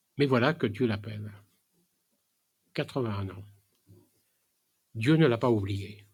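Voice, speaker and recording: A man speaks at medium pitch, somewhat breathy, with ordinary pitch variation and big swings in loudness. Long, frequent pauses break up his speech. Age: 80s+. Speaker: preacher. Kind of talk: sermon. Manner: halting, many hesitations.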